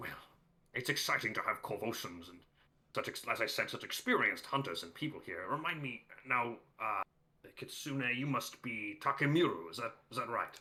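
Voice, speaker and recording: A put-on character voice from a man, moderate in pace and medium in pitch. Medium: actual play. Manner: jovial, grandiose.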